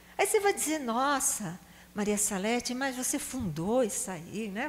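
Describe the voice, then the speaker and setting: A woman speaks at a high pitch. Her voice makes very wide pitch swings. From Brazil, Recife (Pernambuco). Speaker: psychologist and charity founder. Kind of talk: talk to a prayer group.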